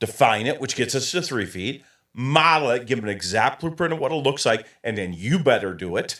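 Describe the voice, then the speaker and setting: A man with an American accent speaks in an animated, bright, sharp tone at a fairly quick pace. His medium-pitched voice has lively intonation. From Michigan, US Midwest. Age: 60s. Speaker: coaching consultant. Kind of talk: interview.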